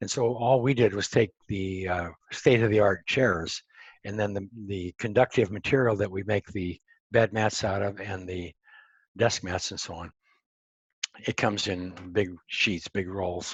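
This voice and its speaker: Speaking with an American accent, a man uses a fairly low pitch, a somewhat breathy voice and fairly even intonation at a fairly slow pace. The sound is dry and close with no echo, over a quiet background. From Montana, US. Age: 70s. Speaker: entrepreneur and grounding researcher. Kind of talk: interview. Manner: halting, many fillers.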